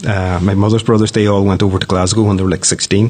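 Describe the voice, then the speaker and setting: A man speaks with a Donegal accent at a fairly low pitch. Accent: Donegal Irish. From Ireland, County Donegal (Downings). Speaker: news editor and media company director. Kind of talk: casual interview. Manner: hesitant, with fillers and repetitions.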